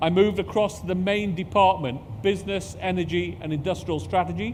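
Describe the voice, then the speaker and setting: Lively in intonation, a man with a British accent speaks at a moderate pace and high pitch, with audible room echo. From UK, parents from Pakistan. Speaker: space agency executive. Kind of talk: conference talk.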